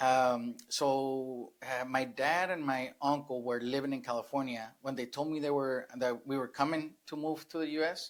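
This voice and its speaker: Talking at a moderate pace with hardly any pauses, a man with a Spanish accent keeps a fairly even intonation in a very clean recording with a silent background. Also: medium pitch for a man. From Sinaloa, Mexico. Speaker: real estate investor. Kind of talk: interview. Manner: hesitant, many fillers.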